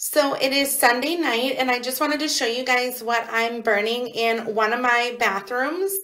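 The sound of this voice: A woman speaks at a fairly slow pace in a bright, sharp tone. Her intonation stays fairly even. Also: fairly high pitch for a woman.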